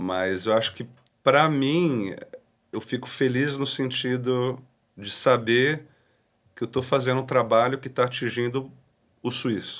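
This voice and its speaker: Fairly slow speech from a man at medium pitch, with ordinary pitch variation and long, frequent pauses. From Brazil. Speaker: pastor. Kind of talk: podcast interview. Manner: casual.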